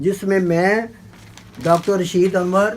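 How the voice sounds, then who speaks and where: This is a man talking. His pitch sits high. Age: 70s. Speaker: veteran journalist and poet. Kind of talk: interview.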